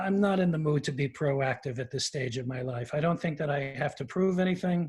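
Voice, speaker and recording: Pitch rises and falls in an ordinary way while the words come at a moderate pace. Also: man. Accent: New York. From New York, Queens. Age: 70s. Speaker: actor. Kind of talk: interview. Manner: halting.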